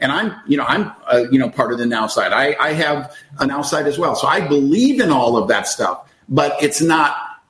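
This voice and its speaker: Over noticeable background noise, a man with a fairly high pitch talks at a moderate pace with lively intonation and hardly any pauses. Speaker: network marketing leader. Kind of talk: casual interview chat.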